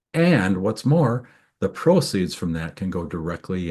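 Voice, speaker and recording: Speaking with a Minnesotan accent, a man uses a very deep, low pitch against a quiet background. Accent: Minnesota. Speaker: tax attorney. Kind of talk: webinar presentation. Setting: video webinar.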